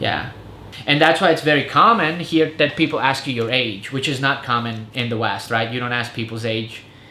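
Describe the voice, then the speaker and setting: Audible room echo surrounds a man with an American accent who speaks at medium pitch and a moderate pace, with ordinary pitch variation. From Serbo-Croatian-speaking family, raised partly in Germany then US. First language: Serbo-Croatian. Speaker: vlogger and English teacher. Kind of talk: casual chat. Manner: casual, filler-heavy.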